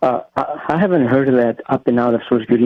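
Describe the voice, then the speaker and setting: A man talks, his pitch sitting in the middle of the male range. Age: 60s. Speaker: caller. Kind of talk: call-in comment.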